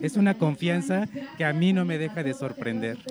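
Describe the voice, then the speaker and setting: The speaker uses lively intonation at a moderate pace. Noticeable background noise can be heard. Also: man. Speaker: news producer at community radio. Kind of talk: live radio interview.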